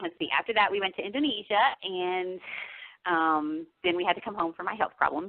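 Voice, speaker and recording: At a fairly quick pace, a woman with an American accent speaks at a medium pitch. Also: ordinary pitch variation. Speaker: novelist. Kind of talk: radio interview.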